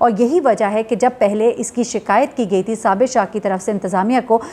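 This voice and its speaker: A woman with a fairly high pitch speaks at a moderate pace. Her tone is dark and mellow. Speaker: news journalist, YouTube commentator. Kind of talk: news commentary. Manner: conversational, frequent hesitations.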